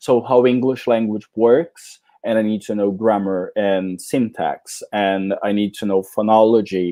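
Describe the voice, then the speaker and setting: A man with a Portuguese accent talks at a fairly slow pace, with hardly any pauses and fairly even intonation. His tone is dark and mellow, and his pitch is fairly low. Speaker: English teacher trainer. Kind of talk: conference talk.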